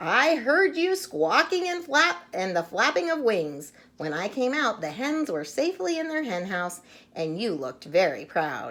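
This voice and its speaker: A put-on character voice at a moderate pace, full of very wide pitch swings. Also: female-sounding voice, fairly high pitch for a woman. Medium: read story.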